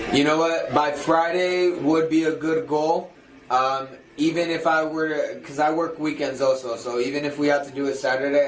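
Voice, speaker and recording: With audible room echo and noticeable background noise, a man with a fairly high pitch speaks at a moderate pace. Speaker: livestreamer working a sales job. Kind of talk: casual chat. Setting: office. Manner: loud; animated.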